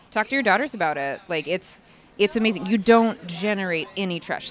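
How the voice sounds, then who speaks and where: A woman talks at a fairly quick pace in a plain, everyday voice with ordinary pitch variation. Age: 30s. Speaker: hiker. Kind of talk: casual interview. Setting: outdoors at a hiking festival.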